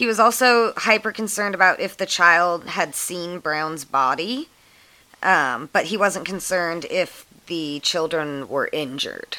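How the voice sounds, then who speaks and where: Speaking at a fairly slow pace, a woman has a fairly low pitch and a bright, sharp tone. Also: lively intonation. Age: 20s. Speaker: true crime podcast co-host. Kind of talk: reading aloud; casual chat.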